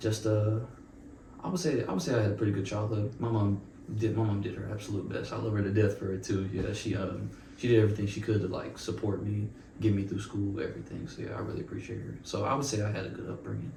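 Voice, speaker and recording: Over noticeable background noise and audible room echo, a man with an American accent talks at a very fast pace, fairly low in pitch and fairly even in intonation. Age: 20s. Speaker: university student. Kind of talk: casual interview chat. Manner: halting, many fillers and repetitions.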